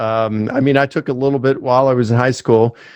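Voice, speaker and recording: A man speaks at a medium pitch with ordinary pitch variation. The sound is dry and close with no echo, over a quiet background. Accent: Mid-Atlantic American. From US, Baltimore, Maryland. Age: 50s. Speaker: professor. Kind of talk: interview.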